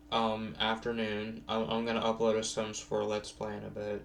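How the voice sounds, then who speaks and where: A fairly low-voiced man at a moderate pace, with audible room echo. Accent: American. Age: 20s. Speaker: vlogger. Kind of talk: casual monologue vlog. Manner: halting, many fillers.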